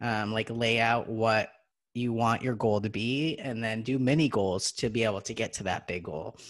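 A man with an unremarkable speaking voice talks at a moderate pace and medium pitch, with fairly even intonation against a quiet background. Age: 30s. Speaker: podcast co-host. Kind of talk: casual chat.

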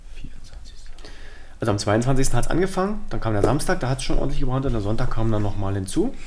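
A man talks very fast with very wide pitch swings. Room echo can be heard in the recording. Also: medium pitch for a man. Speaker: podcast co-host. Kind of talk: casual chat.

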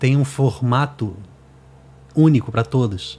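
Dark and mellow in tone, this man's voice is somewhat breathy, sitting at a medium pitch with ordinary pitch variation. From Brazil, Rio de Janeiro. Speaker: music producer and podcast host. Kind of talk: casual chat.

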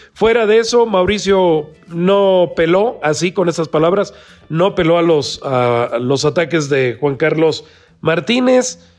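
Against music in the background, a man with a fairly high pitch speaks at a fairly slow pace, with lively intonation and very even loudness. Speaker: political podcast host. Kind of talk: political commentary and interview.

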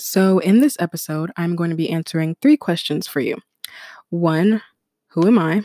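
A woman's dark, mellow voice with an American accent, ordinary pitch variation and a moderate pace, in a dry, close sound with no echo and a very clean recording over a silent background. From US, Ghanaian family. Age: 20s. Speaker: podcast host. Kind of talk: casual solo monologue.

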